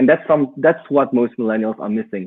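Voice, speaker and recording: Speaking at a medium pitch, a man talks with a non-native accent. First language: not English. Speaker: digital marketing entrepreneur. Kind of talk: podcast interview. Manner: halting.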